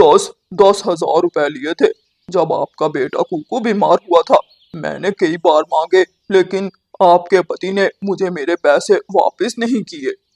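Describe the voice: This is a cartoonish character voice. It moves at a fairly slow pace. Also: man, high pitch for a man.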